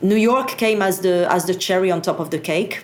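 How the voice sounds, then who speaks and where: A woman with a French accent speaks in a fairly low pitch, with audible room echo and noticeable background noise. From France. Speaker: satellite industry association executive. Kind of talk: interview.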